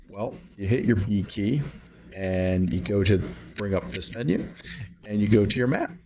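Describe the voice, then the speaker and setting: A somewhat breathy man talks at a moderate pace, his fairly low pitch carried by lively intonation. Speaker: gaming video creator. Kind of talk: gameplay tutorial. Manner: animated; casual, with fillers and repetition.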